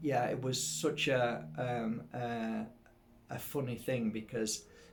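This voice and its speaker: A man with a Yorkshire accent speaks at a medium pitch amid audible room echo. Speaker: spiritual healer and psychic teacher. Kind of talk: casual storytelling to camera. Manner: halting, many fillers and repeats.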